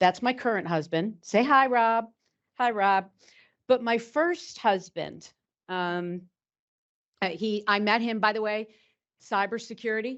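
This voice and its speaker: With a New York accent, a woman speaks at a fairly slow pace with long, frequent pauses, her pitch fairly high with ordinary variation. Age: 50s. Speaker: cybersecurity executive. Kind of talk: lecture. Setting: stage with audience.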